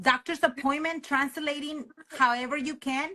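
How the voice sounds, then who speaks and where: A woman's raised, projected voice in a Spanish accent, high-pitched with a bright, sharp tone, moderate pace and ordinary pitch variation. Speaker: podcast host and educator. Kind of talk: casual interview conversation.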